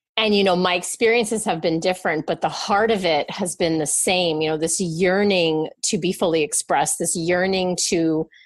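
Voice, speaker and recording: On a very clean recording with a silent background, a woman with a plain, everyday voice talks at a moderate pace and a fairly low pitch, with hardly any pauses, very even loudness and fairly even intonation. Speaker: podcast host and life coach. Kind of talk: conversational interview talk.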